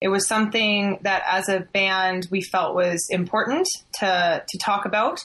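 Speaking at a fairly slow pace, a woman uses a medium pitch and a bright, sharp tone. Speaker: band member. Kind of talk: casual interview.

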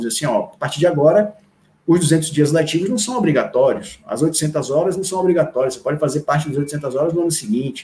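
At a fairly quick pace, a man speaks with a fairly high pitch, a dark, mellow tone and a somewhat breathy quality. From Salvador, Bahia, Brazil. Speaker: education official. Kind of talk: interview. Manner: halting.

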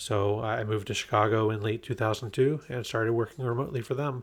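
A somewhat breathy man's voice of medium pitch. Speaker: remote work expert, guest. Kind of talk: casual interview chat. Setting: recording in person, shared microphone.

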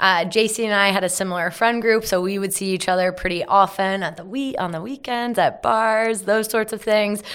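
With an Ontario accent, a woman talks at a moderate pace with hardly any pauses. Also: medium pitch for a woman, ordinary pitch variation. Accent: Canadian (Ontario). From Ontario, Canada (Carlisle, near Hamilton). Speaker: media company co-founder. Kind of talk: interview. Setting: studio in Toronto.

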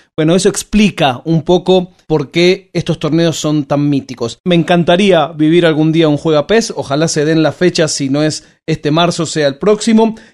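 A man speaks at a moderate pace with hardly any pauses, in a Rioplatense accent. His voice is fairly high, with ordinary pitch variation. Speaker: podcast host. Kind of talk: interview.

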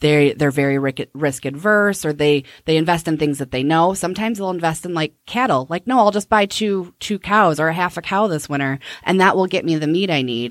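Speaking at a fairly quick pace, a woman with a very deep, low pitch uses lively intonation on a very clean recording with a silent background. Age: 30s. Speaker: financial planner and business owner. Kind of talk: casual interview.

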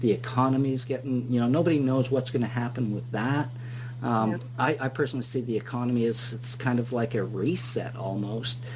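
Speaking at a fairly quick pace, a man uses a monotone, flat intonation at medium pitch, with audible room echo. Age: 50s. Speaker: radio host. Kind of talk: interview.

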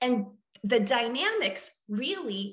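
A woman with an American accent speaks over music in the background, with audible room echo. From US Midwest, central Illinois. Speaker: therapist. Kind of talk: casual interview.

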